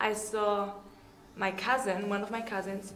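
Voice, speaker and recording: A woman's medium-pitched voice at a fairly slow pace, with audible room echo and noticeable background noise. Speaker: beauty pageant contestant. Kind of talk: interview.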